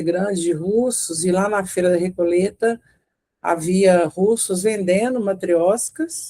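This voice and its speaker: In a Minas Gerais accent, a woman with a dark, mellow tone speaks at a medium pitch. Her pace is very slow and her intonation fairly even. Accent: mineiro Brazilian Portuguese. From Brazil, Minas Gerais (Belo Horizonte). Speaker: retired lawyer and women's circle facilitator. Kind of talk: interview. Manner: hesitant, many fillers.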